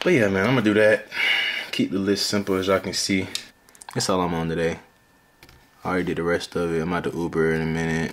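Very deep, low male voice with an American accent, fairly even intonation, a very fast pace and long, frequent pauses. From US South, Atlanta east side. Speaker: vlogger and day trader. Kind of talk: casual vlog. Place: home room. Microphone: phone near.

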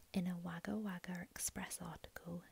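A soft-spoken woman with a fairly low pitch and vocal fry talks at a moderate pace, the sound dry with no echo but with noticeable background noise. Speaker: ASMR creator. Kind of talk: true crime narration, ASMR. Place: home room. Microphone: earbuds.

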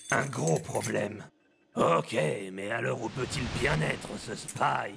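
Lively intonation marks this man's speech. His voice sits fairly low. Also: fairly slow pace. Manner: shouting, self-assured.

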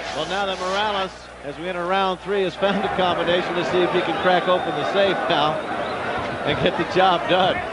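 A man is speaking. The sound is dry with no echo, against loud background noise. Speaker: boxing play-by-play announcer. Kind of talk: live commentary. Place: stadium. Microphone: headset.

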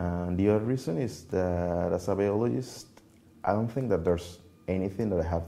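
A man with a Spanish accent speaks at a moderate pace in a very deep, low pitch. His tone is dark and mellow, with fairly even intonation. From Venezuela, Merida (Andes); Venezuela. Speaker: computational biologist; interviewee. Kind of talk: interview. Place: office. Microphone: lapel.

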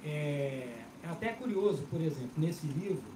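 A man's voice moves in very wide pitch swings amid noticeable background noise. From Brazil, Belo Horizonte. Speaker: bookseller. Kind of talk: panel talk at bookstore event. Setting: stage with audience.

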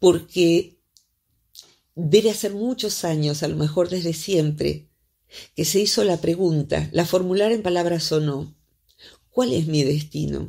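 Against a quiet background, a woman with a fairly low pitch and a dark, mellow tone speaks at a fairly slow pace with ordinary pitch variation. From Argentina. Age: 60s. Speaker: psychologist; psychologist radio columnist. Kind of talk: radio interview. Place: studio.

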